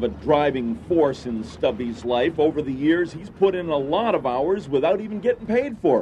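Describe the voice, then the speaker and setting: Over noticeable background noise, a man speaks at a moderate pace with lively intonation. His loudness swings a lot. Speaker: TV feature reporter. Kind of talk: TV news feature narration.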